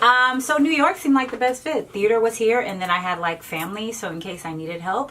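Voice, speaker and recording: A woman with a fairly high pitch at a very fast pace, hardly any pauses, very wide pitch swings and big swings in loudness, over noticeable background noise. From Miami, Florida (born in Haiti). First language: Haitian Creole or French. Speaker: stage actress. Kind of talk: casual interview chat. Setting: livestreamed talk show.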